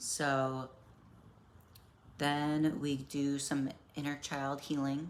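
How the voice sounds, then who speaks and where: In a room with audible echo, a woman speaks with a very deep, low pitch and monotone, flat intonation. Her pace is very slow, with long, frequent pauses. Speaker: self-help vlogger. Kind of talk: casual personal monologue. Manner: halting.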